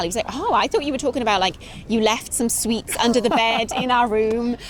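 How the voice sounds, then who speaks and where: A woman with a British accent speaks at a very fast pace and a fairly high pitch, with ordinary pitch variation. Noticeable background noise runs behind her. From Britain. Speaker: interviewee, wife of a Japanese man. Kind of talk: interview. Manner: fast when excited.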